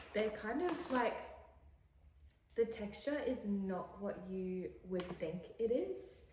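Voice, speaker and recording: With an Australian accent, a woman speaks at a very slow pace with lively intonation and long, frequent pauses. Room echo is audible and background noise is noticeable. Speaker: lifestyle vlogger. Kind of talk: casual vlog chat. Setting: home kitchen, later car. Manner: whispering at times; chatty, rambling with fillers.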